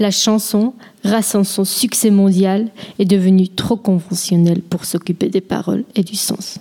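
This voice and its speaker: Speaking in a Swiss German accent, a woman uses a medium pitch, a fairly slow pace and fairly even intonation. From German-speaking Switzerland. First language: Swiss German (speaking French). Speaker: linguistics student. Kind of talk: scripted talk.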